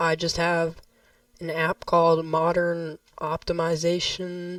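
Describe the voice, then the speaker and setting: The voice moves at a very slow pace. Its intonation is monotone and flat. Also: woman. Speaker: gaming youtuber. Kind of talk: gameplay tutorial. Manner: casual, hesitant.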